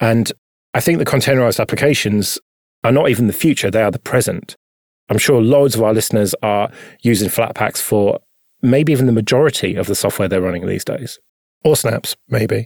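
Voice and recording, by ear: In a very clean, dry, close recording with no echo and a silent background, a man with a plain, everyday voice speaks at a fairly quick pace in a medium pitch with ordinary pitch variation.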